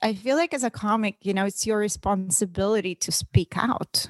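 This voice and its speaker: A woman with a Russian accent, fairly high in pitch with ordinary variation, at a moderate pace on a very clean, silent recording that is dry and close with no echo. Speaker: comedian and actress. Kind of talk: casual interview.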